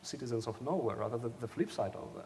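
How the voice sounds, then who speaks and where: This man speaks at a medium pitch with a non-native accent. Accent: foreign. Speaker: demography professor. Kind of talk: panel discussion. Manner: halting, many repetitions.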